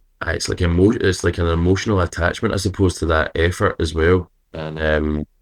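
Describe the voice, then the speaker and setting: In a Scottish accent, a man talks at a fairly quick pace with a very deep, low pitch and fairly even intonation on a very clean recording with a silent background. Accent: own accent, Scottish. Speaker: rock singer and guitarist. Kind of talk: interview. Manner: hesitant, many fillers.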